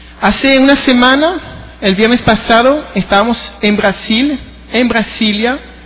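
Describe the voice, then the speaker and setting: Noticeable noise behind a man's speech of ordinary pitch variation. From France and Venezuela. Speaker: government advisor, panelist. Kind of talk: panel talk.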